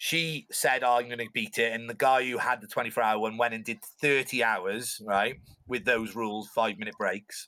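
Speaking with a Cardiff accent, a man uses a medium pitch and a bright, sharp tone. His pace is fairly slow. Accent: Welsh (Cardiff). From Wales, Cardiff. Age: 30s. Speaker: swim coach and endurance swimmer. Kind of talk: casual interview chat. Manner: halting, many fillers.

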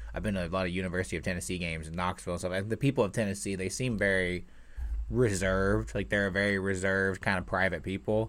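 Very deep and low in pitch, a man with an American accent speaks at a very fast pace with ordinary pitch variation. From Indiana, near Louisville. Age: 20s. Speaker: podcast host, aspiring comedian. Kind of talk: casual chat. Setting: video call.

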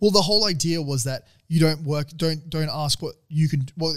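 A man with an Australian accent talks at a fairly quick pace and a fairly high pitch. His voice is somewhat breathy, with ordinary pitch variation. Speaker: podcast co-host. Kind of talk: casual chat.

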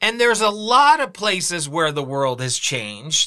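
In a raised, projected voice, a man speaks at a high pitch with a bright, sharp tone and very wide pitch swings. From California. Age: 50s. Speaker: podcast host, former talk radio host. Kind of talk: solo commentary podcast. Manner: casual, many filler words.

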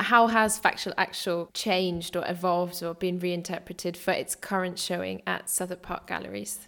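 A woman with a British accent, fairly low in pitch, flat and monotone, at a moderate pace with hardly any pauses, on a very clean recording with a silent background. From Britain. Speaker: dance writer and podcast host. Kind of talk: interview.

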